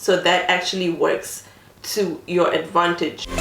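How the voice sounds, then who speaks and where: A woman with a non-native accent speaks at a fairly slow pace with a medium pitch and fairly even intonation, amid audible room echo and noticeable background noise. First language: not English. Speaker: beauty vlogger. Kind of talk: makeup tutorial. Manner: casual, many filler ums.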